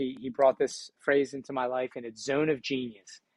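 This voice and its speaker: Talking in a Philadelphia accent, a man keeps a moderate pace and medium pitch with ordinary pitch variation. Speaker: entrepreneur and speaker. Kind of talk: podcast interview.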